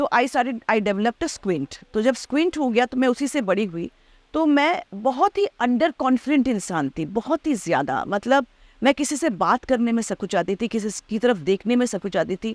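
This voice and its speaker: In a very clean recording with a silent background, a woman speaks at a fairly high pitch with very wide pitch swings. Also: moderate pace, dry, close sound with no echo. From Delhi, India (Bengali family). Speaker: actress. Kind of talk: casual interview chat. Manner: loud laugh.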